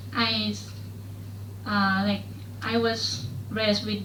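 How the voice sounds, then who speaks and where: Against noticeable background noise and audible room echo, a woman speaks with a Thai accent. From rural Thailand. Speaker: student. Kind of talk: classroom discussion. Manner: halting, many fillers.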